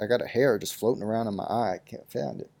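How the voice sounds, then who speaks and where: A man on a very clean recording, silent background. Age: 20s. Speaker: solo podcaster. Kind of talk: casual monologue. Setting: in bed at home. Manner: rambling, laid-back.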